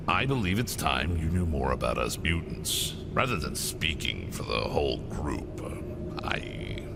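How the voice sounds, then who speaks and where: Against loud background noise, a man puts on a character voice with a very deep, low pitch, speaking at a fairly slow pace. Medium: game stream. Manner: hesitant, sighing.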